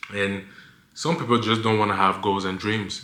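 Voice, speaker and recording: Audible room echo surrounds a man with a fairly low pitch and a non-native accent who speaks with fairly even intonation. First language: not English. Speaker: lifestyle vlogger. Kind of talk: casual vlog monologue. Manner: stutters; halting, many fillers.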